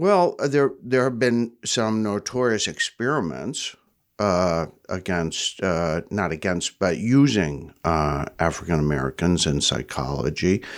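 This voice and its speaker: A man talks at a fairly slow pace with a very deep, low pitch. His pitch swings very widely. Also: very clean recording, silent background. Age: 70s. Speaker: therapist and center founder. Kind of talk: interview. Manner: hesitant, many filler words.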